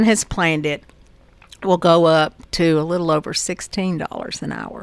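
Her fairly low-pitched voice shows ordinary pitch variation as this woman talks. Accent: Southern US. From Murfreesboro, Tennessee. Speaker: school board member. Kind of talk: radio interview.

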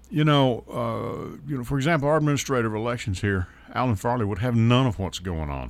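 With a Southern US accent, a man speaks at a fairly quick pace and medium pitch. His intonation is lively. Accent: US South (Tennessee). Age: 60s. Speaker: radio talk show host. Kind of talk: casual talk radio chat. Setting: radio studio.

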